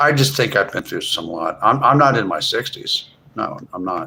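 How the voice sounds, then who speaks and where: This man speaks at a moderate pace with an American accent. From US Northeast, Philadelphia. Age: 40s. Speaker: live streamer. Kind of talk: casual chat. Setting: livestream.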